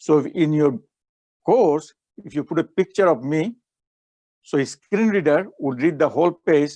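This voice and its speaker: Moderate-paced speech from a man with a non-native accent, fairly high in pitch with ordinary pitch variation, long, frequent pauses and a dry, close sound with no echo. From Bangladesh, Chittagong. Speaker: professor. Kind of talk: keynote lecture.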